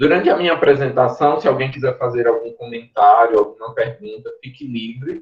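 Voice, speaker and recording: With a Pernambuco accent, a man speaks at a moderate pace. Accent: Pernambuco accent, noticeable. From Pernambuco, Brazil. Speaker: university professor, mycologist. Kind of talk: online lecture.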